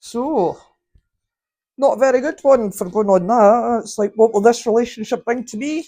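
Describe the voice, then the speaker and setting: A woman with a Scottish accent speaks at a moderate pace, her fairly high voice dark and mellow in tone, with big swings in loudness. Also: ordinary pitch variation. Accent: Scottish (Fife). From Scotland. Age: 50s. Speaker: tarot card reader. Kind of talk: tarot reading.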